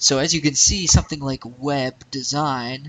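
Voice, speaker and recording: Ordinary pitch variation in a male speaker's voice. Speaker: web design tutorial maker. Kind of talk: screen-recorded tutorial. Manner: fast; casual, hesitant with fillers.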